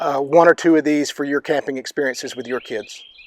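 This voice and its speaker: The speaker talks quickly in a Southern US accent with fairly even intonation, captured with a dry, close sound and no echo. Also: man. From US South. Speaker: outdoor vlogger and parent. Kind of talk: gear review tutorial. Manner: casual, frequent filler words.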